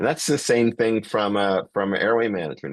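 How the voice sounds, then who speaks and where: Over a quiet background, a man with a fairly low pitch speaks at a moderate pace. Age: 60s. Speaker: emergency physician and airway educator. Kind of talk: lecture. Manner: hesitant, many fillers.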